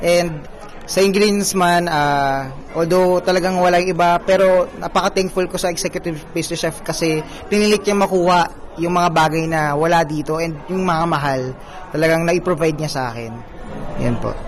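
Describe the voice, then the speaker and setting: Over noticeable background noise, a high-pitched man speaks at a moderate pace with fairly even intonation. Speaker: pastry chef. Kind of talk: interview.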